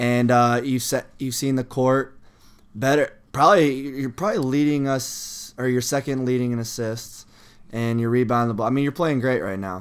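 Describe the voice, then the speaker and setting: Recorded very cleanly against a silent background, a man with a plain, everyday voice speaks at medium pitch and a moderate pace, with ordinary pitch variation. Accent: American. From various US states. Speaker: college basketball player and podcast co-host. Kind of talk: casual chat.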